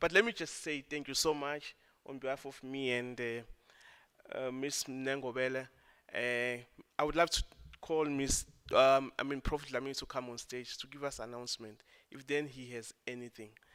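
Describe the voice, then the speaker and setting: With a bright, sharp tone, a man speaks at medium pitch and a moderate pace, his intonation fairly even but his loudness swinging widely. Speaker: session chairperson. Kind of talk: event moderation.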